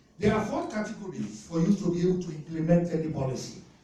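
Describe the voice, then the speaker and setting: Amid noticeable background noise and audible room echo, a high-pitched man talks at a moderate pace. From Nigeria. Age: 60s. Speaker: audience member at policy forum. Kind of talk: public Q&A comment.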